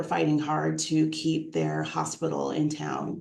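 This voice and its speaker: Audible room echo surrounds a woman as she speaks at a moderate pace. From US East Coast, New York. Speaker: nonprofit executive director. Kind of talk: interview. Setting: livestream video interview.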